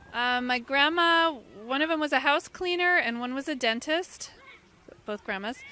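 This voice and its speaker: In an American accent, a woman projects a raised voice at a high pitch with ordinary pitch variation. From Washington, D.C., US. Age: 50s. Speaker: interviewee. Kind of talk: street interview. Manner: halting.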